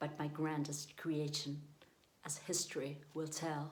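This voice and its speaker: A woman with a non-native accent speaks at a very deep, low pitch. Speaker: amateur poetry reader. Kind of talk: poetry reading.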